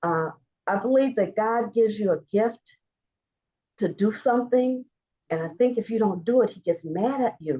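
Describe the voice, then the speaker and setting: Long, frequent pauses in a woman's fairly high voice with an American accent, a dark, mellow tone and lively intonation. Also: moderate pace. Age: 70s. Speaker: visual artist, former school principal. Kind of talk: interview conversation. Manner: animated; halting.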